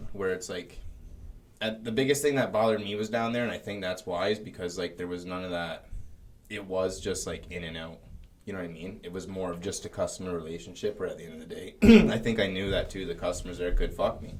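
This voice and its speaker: This man talks at a very fast pace. His pitch sits fairly low. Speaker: cannabis store worker and podcast co-host. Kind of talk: casual chat. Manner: halting.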